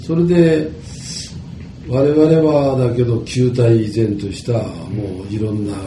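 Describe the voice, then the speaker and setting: Over noticeable background noise and audible room echo, a man at medium pitch talks very slowly with lively intonation. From Japan, Tottori. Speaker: company chairman. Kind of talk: interview. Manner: halting.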